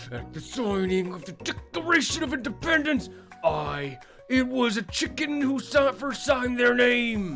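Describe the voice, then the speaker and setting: Over clear music in the background, a man uses a put-on character voice at an extremely high pitch and a moderate pace. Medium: game stream. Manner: formal, lecturing.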